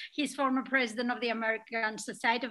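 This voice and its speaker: A woman talks at a very fast pace with fairly even intonation and a bright, sharp tone. The background is quiet. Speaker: webinar moderator. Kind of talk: introduction of speakers. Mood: warm, smiling. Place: home room. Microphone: webcam.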